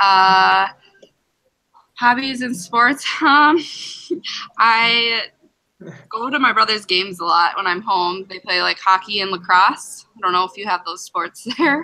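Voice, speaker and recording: Bright and sharp in tone, a woman speaks at a fairly slow pace and medium pitch, with long, frequent pauses. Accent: Upper Midwest. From Minnesota, Eagan. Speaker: nursing student. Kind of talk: casual chat.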